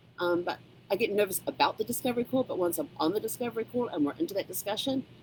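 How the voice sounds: A woman at a very fast pace, medium pitch, slightly mellow tone and lively intonation.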